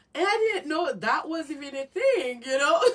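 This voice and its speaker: A woman speaks with very wide pitch swings. Noticeable background noise runs underneath. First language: not English. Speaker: caregiver for at-risk youth. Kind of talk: casual interview chat.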